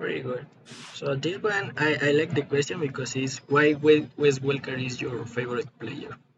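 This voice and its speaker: A man with a Spanish accent, fairly high pitch, fairly even intonation and moderate pace, against noticeable background noise. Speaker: podcast host. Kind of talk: interview.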